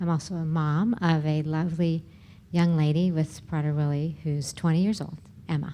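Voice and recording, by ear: Low-pitched and dark, mellow in tone, this woman's voice moves at a moderate pace with little pitch movement.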